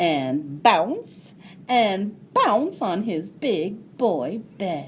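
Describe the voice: The clip is plain reading aloud.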